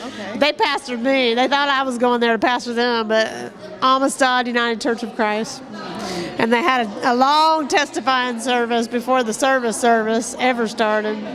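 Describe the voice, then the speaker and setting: Over music in the background, a woman speaks at a high pitch and a moderate pace with fairly even intonation. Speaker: minister. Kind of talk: interview answer.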